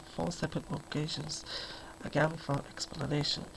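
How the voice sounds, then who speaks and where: The speaker is soft-spoken. The pace is fairly quick. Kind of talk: audiobook reading.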